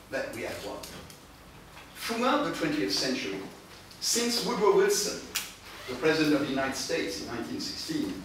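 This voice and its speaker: Amid noticeable background noise and strong room echo, a man talks with long, frequent pauses. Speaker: conference speaker. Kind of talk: lecture. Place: meeting room. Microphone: camera far.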